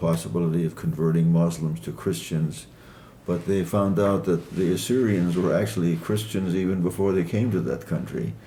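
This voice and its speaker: At a medium speed and with normal pitch movement, the speech carries audible echo from the room. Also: man. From Iran (Kermanshah), Assyrian family. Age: 80s+. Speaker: author. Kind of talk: interview. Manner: hesitant, many fillers.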